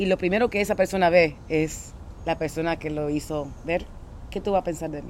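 An ordinary speaking voice with big swings in loudness keeps a fairly even intonation. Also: woman, fairly low pitch for a woman, moderate pace. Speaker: podcast co-host. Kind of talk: casual chat. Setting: outdoors.

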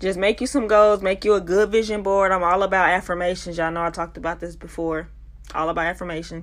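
Against a silent background, a woman talks at a very fast pace. The recording is very clean. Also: medium pitch for a woman. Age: 20s. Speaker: podcast host. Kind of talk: casual monologue. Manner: animated.

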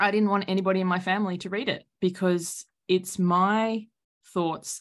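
Recorded very cleanly against a silent background, a woman with an Australian accent speaks at a fairly slow pace and a fairly low pitch. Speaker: author and coach. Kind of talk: casual interview chat.

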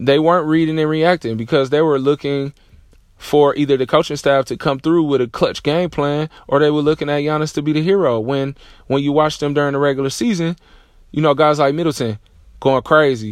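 Fairly high in pitch, a man talks in a normal speaking voice at a fairly quick pace with fairly even intonation. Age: 30s. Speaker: podcast host, basketball coach. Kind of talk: solo sports commentary monologue. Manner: casual, filler-heavy.

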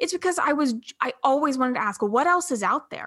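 Using a raised, projected voice, a woman speaks at a high pitch and moderate pace. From US South. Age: 20s. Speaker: entrepreneur. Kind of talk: casual chat. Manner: animated.

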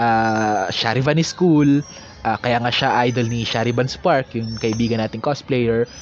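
Noticeable background noise sits under the recording. A man talks at a fairly slow pace. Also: medium pitch for a man, ordinary pitch variation. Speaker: podcast host. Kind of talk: casual solo monologue. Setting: outdoors in a park corner.

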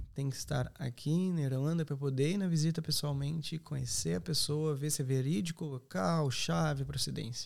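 A man speaks in a plain, everyday voice with a fairly high pitch and ordinary pitch variation. His pace is moderate, with hardly any pauses. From southern Brazil, Serra Gaúcha (Rio Grande do Sul). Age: 20s. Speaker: accommodation company representative. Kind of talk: podcast interview.

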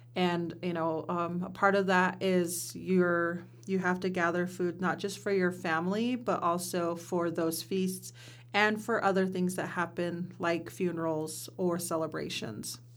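The speaker talks in an American accent at a fairly slow pace with fairly even intonation, and room echo is audible. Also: woman, fairly low pitch for a woman. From US Pacific Northwest, Warm Springs reservation, Oregon. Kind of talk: interview conversation. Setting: studio.

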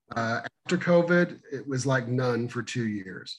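Somewhat breathy, a man with an American accent talks at a fairly slow pace with ordinary pitch variation. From Missouri. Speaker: emergency dispatch trainer. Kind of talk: interview.

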